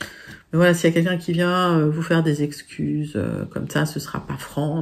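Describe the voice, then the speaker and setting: Flat and monotone, a woman speaks at a moderate pace in a very deep, low pitch. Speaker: tarot reader. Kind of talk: tarot reading video. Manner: hesitant, many fillers.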